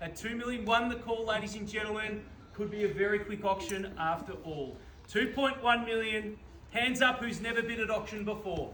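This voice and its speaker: In an Australian accent, a man with a high pitch speaks in a raised, projected voice with ordinary pitch variation, amid audible room echo and noticeable background noise. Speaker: auctioneer. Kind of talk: live auction calling. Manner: loud; fast, rhythmic calling.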